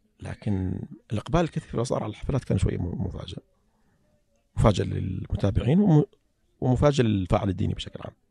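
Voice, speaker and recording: A man with a fairly low pitch and a dark, mellow tone speaks somewhat breathily with lively intonation. His pace is moderate, broken by long, frequent pauses. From Saudi Arabia, Eastern Province (Saihat, Qatif). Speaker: petroleum engineer and writer. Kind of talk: casual interview conversation. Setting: studio.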